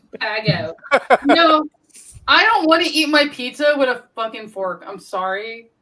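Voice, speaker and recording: This woman sounds animated, her high pitch making very wide swings at a moderate pace. Her loudness also swings widely. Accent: American. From Brooklyn, New York. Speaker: paranormal channel host. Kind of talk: casual chat.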